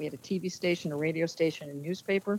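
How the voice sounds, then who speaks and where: With an American accent, a woman talks at a very fast pace. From New Jersey. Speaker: former sportscaster and sports official. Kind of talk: casual interview.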